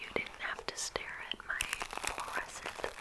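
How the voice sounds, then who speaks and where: Whispering very slowly, a woman is heard through noticeable background noise. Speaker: ASMR creator. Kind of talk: casual talk while doing makeup and hair. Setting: close-mic bathroom recording. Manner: whispered, soft, intimate.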